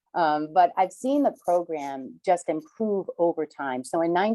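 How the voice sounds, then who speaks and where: With a Rhode Island accent, a woman speaks in a dark, mellow tone at a fairly low pitch. The sound is dry and close, with no echo. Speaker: reverse mortgage specialist. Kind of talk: webinar presentation.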